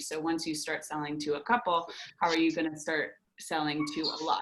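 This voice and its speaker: With ordinary pitch variation, the woman's voice sounds very deep and low. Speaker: startup program presenter. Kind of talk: webinar presentation. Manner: fast.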